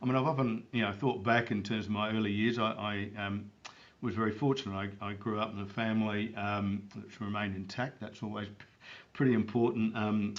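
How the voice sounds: Audible room echo surrounds a man speaking at a moderate pace. His voice is fairly low and has little pitch movement.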